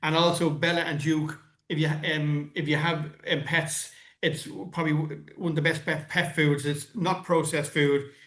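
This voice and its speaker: With an Irish accent, a man speaks at a fairly quick pace in a fairly high pitch, his intonation monotone and flat. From Ireland. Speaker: podcast host. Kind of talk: casual interview chat. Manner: halting, repeats words.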